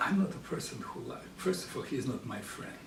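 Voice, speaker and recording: A man with a Russian accent at a moderate pace, lively in intonation, amid noticeable background noise and audible room echo. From Russian-speaking country. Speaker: psychologist. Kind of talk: educational talk.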